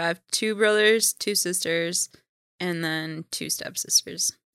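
A woman with an American accent talks at a fairly slow pace in a medium pitch with fairly even intonation and a bright, sharp tone. The sound is dry and close, with no echo. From Minnesota. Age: 30s. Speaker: interview guest sharing her life story. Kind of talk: casual interview.

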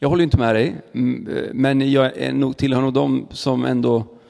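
Noticeable background noise fills the recording. A man speaks over it at a moderate pace. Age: 30s. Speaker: church podcast host. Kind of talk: interview conversation. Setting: church.

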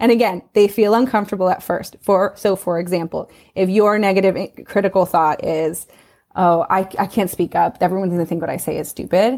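A woman with an American accent and an unremarkable speaking voice talks at a fairly quick pace. Her pitch is medium with fairly even intonation, and the recording is very clean with a silent background. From US West Coast, Los Angeles. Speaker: parent coach. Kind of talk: interview conversation.

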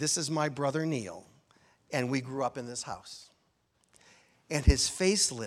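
A man with an American accent, medium pitch, moderate pace and ordinary pitch variation. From US Midwest, Chicago area. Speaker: minister. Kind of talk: sermon.

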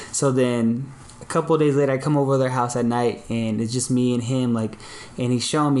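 Against noticeable background noise, a man speaks at a medium pitch and a moderate pace. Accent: American. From US West Coast, Long Beach, California. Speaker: graphic designer and podcaster. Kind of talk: casual chat.

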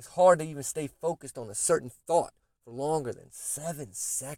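A man talks at a moderate pace in a normal speaking voice, pitched fairly high, with ordinary pitch variation. The sound is dry and close, with no echo. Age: 30s. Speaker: podcast host. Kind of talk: motivational monologue. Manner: casual, repetitive with false starts.

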